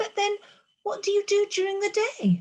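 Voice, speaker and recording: A woman's put-on character voice, squeaky and extremely high, monotone and flat at a moderate pace. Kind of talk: bedtime story. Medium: read story.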